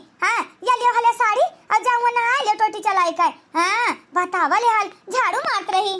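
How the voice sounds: Using a cartoonish character voice at an extremely high pitch, a woman talks at a moderate pace with very even loudness.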